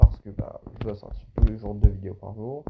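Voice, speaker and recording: A man at a moderate pace. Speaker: gaming YouTuber. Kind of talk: gameplay commentary. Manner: loud; animated.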